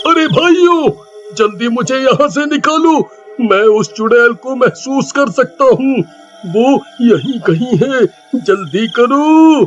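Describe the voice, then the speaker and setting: This is a cartoonish character voice. It moves at a very slow pace. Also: man, extremely high pitch for a man. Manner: panicked, pleading.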